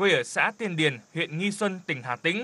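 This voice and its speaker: Bright, sharp tone from a man, with ordinary pitch variation. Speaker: voiceover narrator. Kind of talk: scripted narration.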